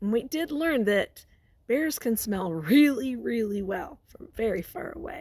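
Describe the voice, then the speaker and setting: Using a put-on character voice, a raspy woman with a fairly high pitch and a warm tone moves through very wide pitch swings and big swings in loudness at a fairly slow pace. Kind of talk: classroom read-aloud. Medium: read story. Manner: warm, encouraging, questioning.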